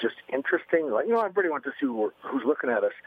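With an unremarkable speaking voice, this man talks at a fairly high pitch with ordinary pitch variation, recorded dry and close with no echo. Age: 50s. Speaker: business author and speaker. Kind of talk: interview.

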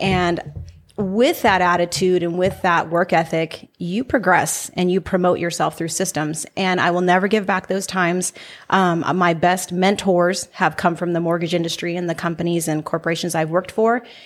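A woman with an American accent has a plain, everyday voice, fairly low in pitch, delivered at a moderate pace with fairly even intonation. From Salinas, California. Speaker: entrepreneur. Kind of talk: casual chat.

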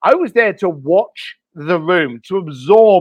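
Raised and projected, a high-pitched man's voice sounds animated, with a bright, sharp tone, dry and close with no echo, on a very clean recording with a silent background. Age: 50s. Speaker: author and luxury experience creator. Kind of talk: interview.

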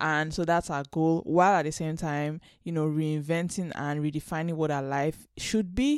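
On a very clean recording with a silent background, a woman speaks in a very deep, low voice. She keeps a moderate pace with hardly any pauses and fairly even intonation. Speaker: podcast host reviewing Korean dramas. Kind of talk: casual solo review monologue. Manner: chatty with frequent fillers and laughs.

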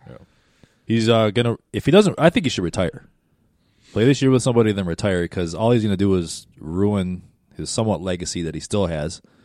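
An unremarkable speaking voice: a man with an American accent talks at a fairly quick pace, fairly low in pitch, with lively intonation and big swings in loudness. The recording is very clean, with a silent background. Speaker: podcast co-host. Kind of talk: casual banter.

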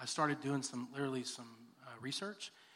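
A man with a Texan accent speaks at a fairly high pitch. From Texas, Texas City area. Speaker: church elder and school district worker. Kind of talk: interview testimony in church service.

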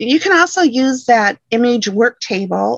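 With an American accent and lively intonation, a woman talks at a fairly high pitch in an ordinary speaking voice, with a dry, close sound with no echo. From Michigan. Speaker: quilting software educator. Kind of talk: interview.

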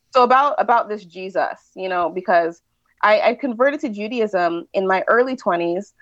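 Speaking at a moderate pace, a woman with a Californian accent and a fairly high pitch uses lively intonation. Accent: Californian American. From California, US (Nigerian immigrant parents). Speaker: writer and mother. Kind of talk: casual interview chat.

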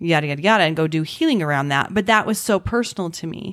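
Recorded very cleanly over a silent background, a woman with a normal speaking voice and a fairly low pitch talks at a fairly quick pace. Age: 40s. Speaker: podcast host. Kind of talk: casual interview chat.

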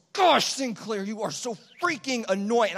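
A put-on character voice growls at a fairly high pitch. The pace is moderate. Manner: annoyed.

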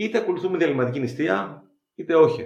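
A somewhat breathy male voice with audible room echo. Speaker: biochemist and runner. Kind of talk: interview.

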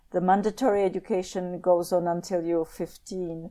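On a very clean recording with a silent background, a woman is heard. Her tone is dark and mellow. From Czech Republic, Prague. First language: Czech. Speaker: professor. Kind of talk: interview.

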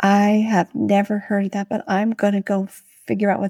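A woman's somewhat breathy, dark, mellow voice at medium pitch and moderate pace, in a very clean recording with a silent background and a dry, close sound with no echo. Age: 60s. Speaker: podcast host, nurse and legal consultant. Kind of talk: interview chat.

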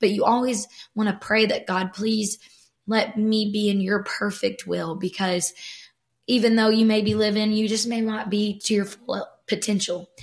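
A fairly high-pitched, somewhat breathy female voice at a moderate pace, flat and monotone in intonation. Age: 20s. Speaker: church creative worker, guest. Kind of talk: casual faith conversation.

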